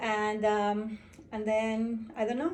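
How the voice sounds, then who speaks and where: Against audible room echo, a woman with a fairly high pitch speaks in a monotone, flat intonation. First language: Spanish. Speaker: home bartender. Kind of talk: casual tutorial. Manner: hesitant, many fillers.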